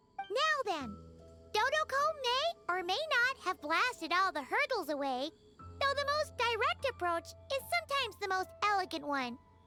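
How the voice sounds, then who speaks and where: Over clear music in the background, a female-sounding put-on character voice with a bubbly tone, an extremely high pitch and very wide pitch swings moves at a moderate pace. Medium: game stream. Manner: bubbly, excitable.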